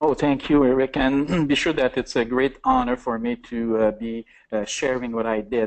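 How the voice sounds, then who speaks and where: At a moderate pace, a man with a French accent talks at a medium pitch with fairly even intonation. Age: 60s. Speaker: entrepreneur. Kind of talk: interview. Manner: halting.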